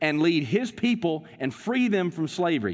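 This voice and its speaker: Speaking with a Southern US accent, a man has a high pitch and lively intonation. His pace is moderate. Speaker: pastor. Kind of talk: sermon. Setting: church. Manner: halting, filler words.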